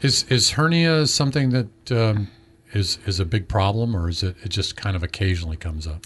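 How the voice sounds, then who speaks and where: At a fairly quick pace, a man with a fairly low pitch sounds somewhat breathy, his pitch swinging very widely. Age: 50s. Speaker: health show host. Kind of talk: health interview.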